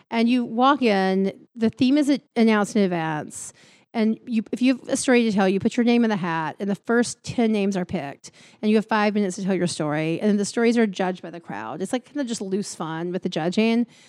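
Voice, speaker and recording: A woman with an American accent, fairly quick pacing and ordinary pitch variation, on a very clean recording with a silent background. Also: medium pitch for a woman, dry, close sound with no echo. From Alabama, US South. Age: 50s. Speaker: storytelling artistic director and editor. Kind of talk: casual interview. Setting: office.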